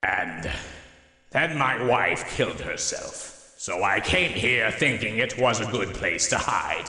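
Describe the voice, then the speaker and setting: Using a put-on character voice at a medium pitch, a man speaks at a fairly slow pace with lively intonation and a clear echo. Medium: audio drama.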